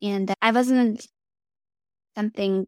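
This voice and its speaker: A woman with a Russian accent, medium pitch, fairly even intonation and a fairly slow pace, in a dry, close sound with no echo. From Russia, then Germany. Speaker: flight test engineer. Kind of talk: casual interview. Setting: video call.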